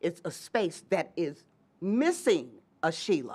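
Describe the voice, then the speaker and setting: Her pitch swings very widely around a medium level. The woman speaks at a fairly slow pace. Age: 60s. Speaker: community activist. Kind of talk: panel discussion.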